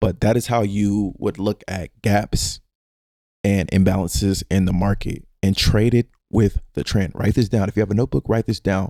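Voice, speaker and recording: Intonation holds fairly even. The voice has a dark, mellow tone. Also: man, fairly low pitch for a man. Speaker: stock trading educator. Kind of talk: tutorial. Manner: fast; casual, with filler words.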